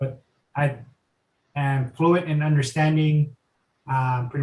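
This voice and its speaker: A somewhat breathy male voice in a monotone with flat intonation. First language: Tagalog. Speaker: guest's partner. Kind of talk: casual chat.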